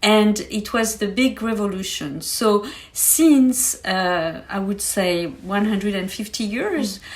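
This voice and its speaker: Somewhat breathy woman's voice in a French accent, medium pitch, ordinary pitch variation, very slow pace, hardly any pauses. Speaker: science expert guest. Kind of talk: podcast interview, explaining science. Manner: hesitant, many fillers.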